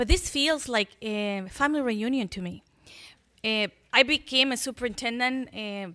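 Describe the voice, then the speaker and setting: A woman with a Spanish accent speaks at a moderate pace in a fairly high pitch, her bright, sharp tone showing ordinary pitch variation and big swings in loudness, on a very clean recording with a silent background. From Chile. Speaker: school superintendent. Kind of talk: public speech.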